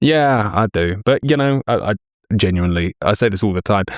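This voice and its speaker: A man with an American accent talks at a moderate pace, with fairly low pitch and ordinary pitch variation, in a dry, close, echo-free sound on a very clean recording with a silent background. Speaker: shooting video creator. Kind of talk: casual chat.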